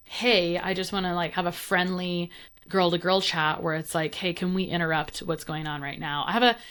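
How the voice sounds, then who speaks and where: Delivered at a fairly quick pace, the speech comes in a very clean recording with a silent background. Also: woman. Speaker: functional nutritionist. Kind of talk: interview. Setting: podcast. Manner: fast; animated.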